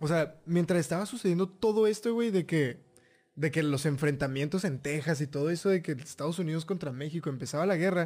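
A man's high-pitched voice at a moderate pace, with music in the background. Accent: Mexican. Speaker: history podcast co-host. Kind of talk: casual chat.

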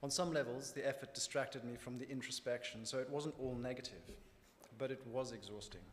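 In a Zimbabwean accent, the speaker talks at a very fast pace with monotone, flat intonation. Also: man. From Zimbabwe, rural north. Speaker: church member. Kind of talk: testimony. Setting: church.

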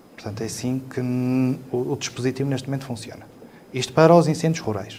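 A man speaks with ordinary pitch variation. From northern Portugal (Trás-os-Montes, raised in Lamego). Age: 40s. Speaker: civil protection coordinator. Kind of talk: panel discussion. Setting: studio. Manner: halting, with many fillers and repetitions.

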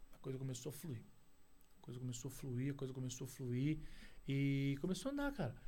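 A man with a medium-pitched, dark, mellow, somewhat breathy voice talks fairly quickly with fairly even intonation and long, frequent pauses, with audible room echo around him. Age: 40s. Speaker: outsourcing business owner. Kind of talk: casual interview. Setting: studio.

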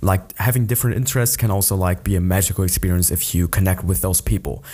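The man talks fairly fast with a lively melody, his tone dark and mellow and his voice somewhat breathy. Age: 20s. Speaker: podcaster. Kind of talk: casual monologue. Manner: hesitant, many fillers.

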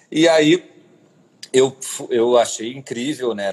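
A man talks in a plain, everyday voice. His pitch is medium, with ordinary variation. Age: 40s. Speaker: cultural manager and curator. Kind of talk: interview.

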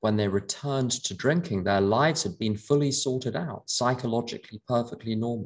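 The speaker has a plain, everyday voice and ordinary pitch variation. The pace is moderate. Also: man. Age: 50s. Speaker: AA speaker and sponsor. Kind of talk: talk to a recovery meeting. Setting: video call.

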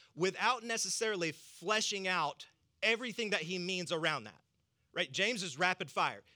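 In a Southern US accent, a man talks at a fairly quick pace in a high pitch, his raised, projected voice bright and sharp in tone, with ordinary pitch variation on a very clean recording with a silent background. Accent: Southern American. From US South. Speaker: pastor. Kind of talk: sermon.

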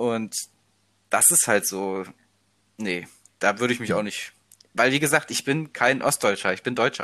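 A man speaks at a moderate pace in a medium pitch, with a bright, sharp tone and ordinary pitch variation. Long, frequent pauses break up his speech in a very clean recording with a silent background. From eastern Germany, Leipzig area. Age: 20s. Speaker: university student. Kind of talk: casual chat.

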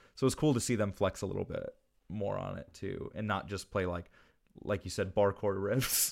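A plain, everyday voice from a man, fairly low in pitch with ordinary pitch variation, at a moderate pace on a very clean recording with a silent background. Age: 20s. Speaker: music podcast co-host. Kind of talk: casual chat.

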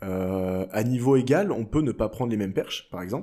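Recorded very cleanly over a silent background, a man with a dark, mellow tone speaks at a fairly low pitch with ordinary pitch variation. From France. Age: 20s. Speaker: pole vaulter. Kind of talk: interview.

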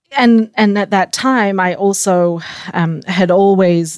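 In an Australian accent, a woman speaks at a fairly slow pace. Her pitch variation is ordinary. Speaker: startup founder and CEO. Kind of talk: interview.

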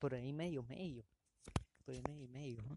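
The sound is dry and close, with no echo. A man talks at a fairly high pitch. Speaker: amateur podcaster. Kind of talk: improvised solo monologue. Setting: outdoors in a patio. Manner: halting.

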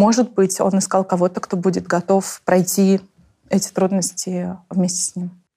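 Speaking at a moderate pace, a woman with a medium pitch sounds somewhat breathy, her intonation monotone and flat. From Tatarstan, Russia. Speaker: author of the book. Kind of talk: casual interview conversation. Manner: thoughtful, with many filler sounds.

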